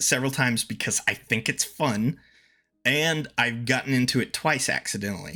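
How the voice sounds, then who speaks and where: Bright, sharp in tone, a man's medium-pitched voice rises and falls with lively intonation. The recording is very clean with a silent background. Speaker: streamer. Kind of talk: casual chat. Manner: halting, repetitive.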